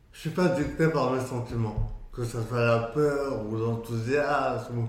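The speech comes at a fairly slow pace with ordinary pitch variation, amid audible room echo and noticeable background noise. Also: man. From France, Moroccan heritage. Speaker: entrepreneur and traveller. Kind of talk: casual interview. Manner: halting.

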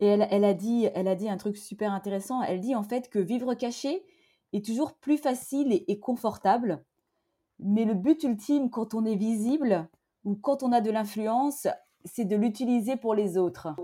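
At a moderate pace, a woman speaks with a fairly high pitch, a dark, mellow tone, a somewhat breathy quality and ordinary pitch variation, recorded very cleanly against a silent background. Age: 40s. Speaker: entrepreneur. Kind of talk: interview conversation.

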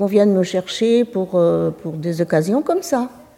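With noticeable background noise, a woman talks at medium pitch with ordinary pitch variation. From France, Anjou countryside (Maine-et-Loire). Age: 80s+. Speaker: retiree, workshop participant. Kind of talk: casual chat. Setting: community centre. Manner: halting.

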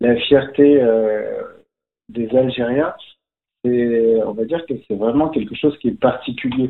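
A man's medium-pitched voice at a very slow pace, fairly even in intonation, with long, frequent pauses. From France, Algerian Berber (Kabyle) family. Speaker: magician. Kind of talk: casual interview.

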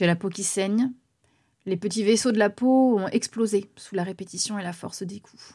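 A woman speaks at a moderate pace with fairly high pitch and fairly even intonation. Her tone is dark and mellow. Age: 30s. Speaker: singer and podcaster. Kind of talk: personal testimony narration.

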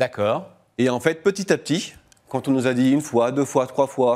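A man talks in an ordinary speaking voice. His pitch sits in the medium range. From northern France, Lille. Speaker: startup founder. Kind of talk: radio interview. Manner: casual.

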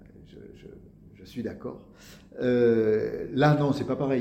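Vocal fry runs through a man's dark, mellow voice at a medium pitch. He speaks at a fairly slow pace, with audible room echo. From Marseille area, southern France. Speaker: actor. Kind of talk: interview.

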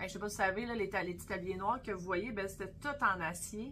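Room echo is audible as a woman of medium pitch speaks at a moderate pace. Her intonation stays fairly even. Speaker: butcher and podcast co-host. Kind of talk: casual chat.

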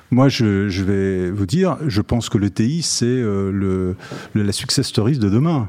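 Over noticeable background noise, a man talks at a very slow pace, fairly low in pitch, with ordinary pitch variation. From Lyon, France. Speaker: company chairman. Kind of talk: interview. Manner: hesitant, repeats words.

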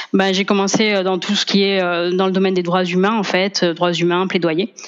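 A woman's normal speaking voice, medium in pitch and moderate in pace. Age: 30s. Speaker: lawyer and family therapist. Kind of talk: casual interview.

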